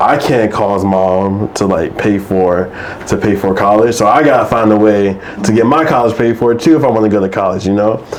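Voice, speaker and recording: A man mumbles at a moderate pace with a fairly low pitch and very even loudness. Audible room echo and noticeable background noise are present. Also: ordinary pitch variation. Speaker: mental health storyteller. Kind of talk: interview. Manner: mumbling; halting.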